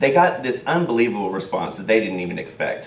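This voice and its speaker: A man with a medium-pitched voice speaks at a fairly quick pace, with audible room echo. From Texas. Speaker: charity volunteer and hairdresser. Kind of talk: talk to church congregation. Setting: church service.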